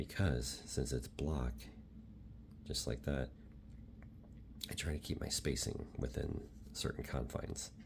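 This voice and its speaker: A soft-spoken man with a very deep, low pitch, vocal fry, a calm, relaxed tone, ordinary pitch variation, a fairly slow pace and long, frequent pauses. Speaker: Japanese language learner making ASMR study videos. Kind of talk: ASMR soft-spoken talk to camera about studying Japanese. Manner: soft-spoken, calm, relaxed.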